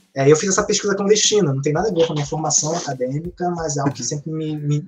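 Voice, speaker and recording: A man talks with a fairly high pitch and fairly even intonation. Noticeable background noise runs beneath his voice. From Rio de Janeiro, west zone. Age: 30s. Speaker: academic and novelist. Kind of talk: podcast interview. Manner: halting, many repeated words.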